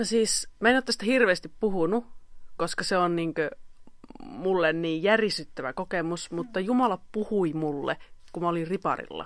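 Using lively intonation, a woman of medium pitch talks at a moderate pace. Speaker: singer-songwriter and violinist. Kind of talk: casual chat. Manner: animated.

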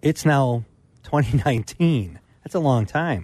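Over a quiet background, a somewhat breathy man speaks at a medium pitch and a very slow pace. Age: 50s. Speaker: hunting pro staffer, co-host. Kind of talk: casual radio chat. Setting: radio studio.

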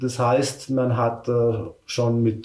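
A man talks in a mid-range pitch, his voice carrying some room echo amid noticeable background noise. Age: 50s. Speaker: forestry worker. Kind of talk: interview.

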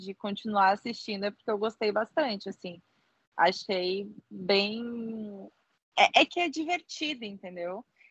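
A woman talks fairly slowly at a medium pitch, her pitch varying in an ordinary way. The sound is dry and close with no echo, and the background is quiet. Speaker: podcast co-host. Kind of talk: casual chat.

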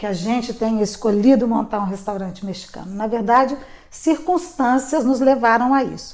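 Here is a woman with an ordinary speaking voice, pitched fairly high. Her pace is moderate and her pitch variation ordinary. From Brasília, Brazil. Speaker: restaurant owner. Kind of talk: interview.

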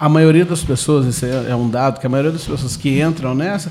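A man talks at a moderate speed with music playing behind him. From Brazil, southern Minas Gerais (Itajubá). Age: 30s. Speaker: theatre actor and producer. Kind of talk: radio interview.

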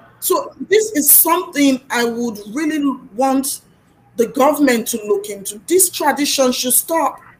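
A woman speaks at a fairly slow pace in a high voice with lively intonation. Noticeable background noise is present. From Nigeria. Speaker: youtuber and podcaster. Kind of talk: casual chat.

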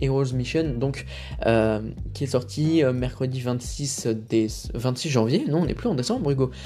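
With music in the background, a man speaks at a moderate pace, his pitch fairly high with ordinary variation. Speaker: film podcast host. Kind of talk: casual solo podcast commentary. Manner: hesitant, many fillers.

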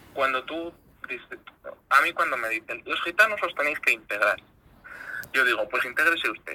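A man with a fairly high pitch and a bright, sharp tone speaks at a moderate pace with lively intonation and long, frequent pauses. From Spain, Zamora (Castile and León). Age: 20s. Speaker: regional politician. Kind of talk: interview.

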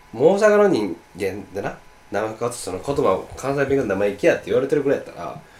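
A man races along at a very fast pace in a fairly high voice with vocal fry and very wide pitch swings. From Osaka. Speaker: podcast co-host. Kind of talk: casual chat.

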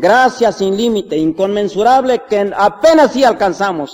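High-pitched male voice with a solemn tone at a fairly slow pace. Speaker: preacher. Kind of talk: sermon. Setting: church. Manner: earnest, solemn pastoral delivery, unhurried and reverent; rising, warm exhortation building to a closing benediction.

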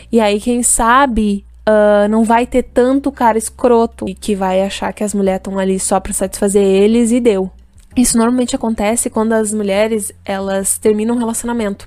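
At a moderate pace and with hardly any pauses, a woman speaks in a fairly high, monotone, flat voice. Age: 20s. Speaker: podcast co-host. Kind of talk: casual chat. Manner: halting, many repetitions.

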